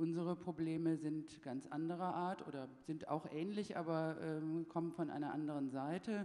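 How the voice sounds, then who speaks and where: A woman with a very deep, low pitch and a dark, mellow tone, fairly slow with hardly any pauses and with fairly even intonation. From Germany. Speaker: health insurance executive. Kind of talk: panel debate.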